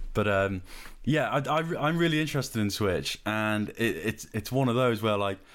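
A man with a West Country accent speaks at a moderate pace with lively intonation on a very clean recording with a silent background. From southwest England. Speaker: podcast host and designer. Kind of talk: casual interview chat.

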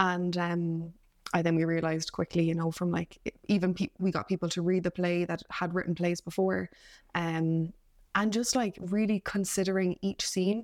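A woman's fairly low voice with a Cork accent, monotone and flat in intonation, at a moderate pace and very even loudness. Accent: Cork Irish. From Ireland, Cork. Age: 20s. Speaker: actor and playwright. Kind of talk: casual interview.

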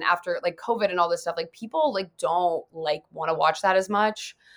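A woman with a fairly low voice at a fairly quick pace. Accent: American. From Ohio, Dayton. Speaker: YouTuber and content creator. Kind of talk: casual chat.

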